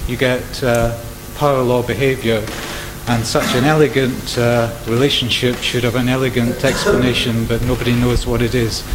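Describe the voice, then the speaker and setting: A man's medium-pitched voice at a moderate pace, monotone and flat, with noticeable background noise and audible room echo. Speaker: conflict modelling researcher. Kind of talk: audience question at symposium. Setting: conference hall with microphone.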